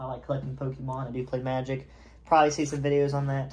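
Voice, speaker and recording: Amid noticeable background noise and audible room echo, a man speaks at a fairly high pitch with a slight Southern accent. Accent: slight southern twang. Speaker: YouTuber and college student. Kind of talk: casual vlog monologue. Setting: home, on camera in robe. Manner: halting, many fillers.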